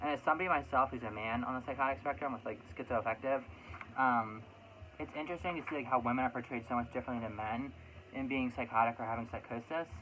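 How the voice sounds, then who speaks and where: At a very fast pace, a man talks at a medium pitch with ordinary pitch variation. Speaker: vlogger. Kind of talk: casual chat. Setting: home room.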